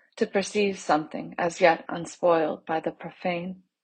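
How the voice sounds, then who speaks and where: A woman with a plain, everyday voice speaks at a fairly low pitch and a moderate pace, her intonation fairly even. The background is quiet. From US South, Charleston, South Carolina. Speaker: fiction writer. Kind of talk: reading aloud.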